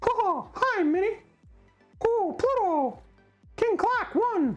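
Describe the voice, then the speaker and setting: A put-on character voice sits at an extremely high pitch. It moves at a very slow pace over faint music in the background. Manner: playful cartoonish.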